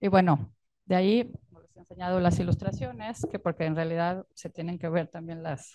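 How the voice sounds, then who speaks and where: A woman speaks at a moderate pace with a fairly low pitch and a dark, mellow tone. Her pitch varies in an ordinary way, her loudness swings widely, and the background is quiet. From Mexico. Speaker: illustrator and author. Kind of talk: book presentation talk. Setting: stage with audience. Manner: halting. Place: tent. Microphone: handheld.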